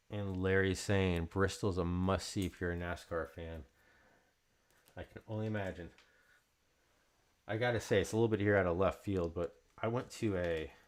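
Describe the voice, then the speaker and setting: The speaker mumbles at a moderate pace with fairly even intonation and long, frequent pauses. The recording is very clean, with a silent background. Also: man, very deep, low pitch for a man. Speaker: card break host. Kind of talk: live stream card break chat. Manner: mumbling.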